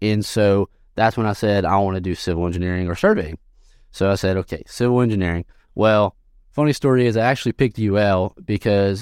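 In a normal speaking voice with an American accent, a man talks at a fairly quick pace and fairly low pitch with fairly even intonation, on a very clean recording with a silent background. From southwest Louisiana (Sulphur, near Texas). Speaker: civil engineer. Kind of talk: interview.

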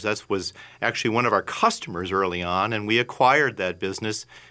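A man talks in an Upper Midwest accent at a moderate pace, his tone bright and sharp. The recording is very clean, with a silent background. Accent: Upper Midwest American. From Minnesota, South Minneapolis. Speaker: physician and lab founder. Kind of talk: radio interview. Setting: radio studio.

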